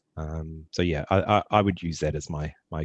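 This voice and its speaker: Dry and close with no echo, a man with a New Zealand accent speaks at a very deep, low pitch with fairly even intonation. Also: quiet background. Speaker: tech startup founder. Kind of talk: casual Q&A talk. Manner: hesitant, many fillers and repetitions.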